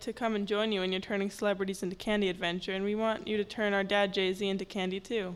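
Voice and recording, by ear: Here someone is reading aloud in a natural voice.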